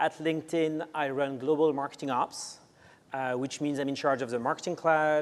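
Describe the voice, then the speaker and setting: In a very clean recording with a silent background, a man with a French accent speaks at a fairly high pitch in a monotone, flat intonation. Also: moderate pace. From France. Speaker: marketing executive. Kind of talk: panel interview.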